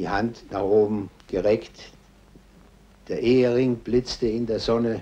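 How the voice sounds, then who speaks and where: Very slowly and with long, frequent pauses, a man speaks at a medium pitch in a dark, mellow tone with monotone, flat intonation. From Germany. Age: 60s. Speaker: war veteran. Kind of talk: interview answer.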